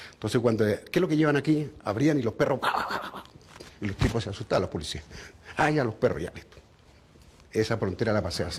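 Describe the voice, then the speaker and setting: Lively in intonation and medium in pitch, a man speaks very fast yet leaves long, frequent pauses. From Chile (raised there from age 13; born in Bogotá). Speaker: retired circus clown. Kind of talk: interview testimony.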